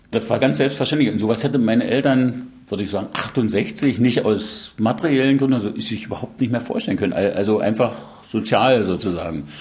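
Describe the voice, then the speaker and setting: With a normal speaking voice, a man talks at a fairly quick pace, his medium pitch showing ordinary pitch variation. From Saxony, East Germany. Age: 60s. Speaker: pathologist. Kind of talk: interview.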